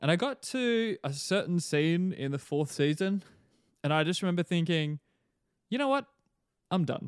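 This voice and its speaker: A man's high-pitched voice at a moderate pace, lively intonation, long, frequent pauses, dry, close sound with no echo, and a very clean recording with a silent background. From Australia. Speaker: pastor and podcaster. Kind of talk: casual interview chat.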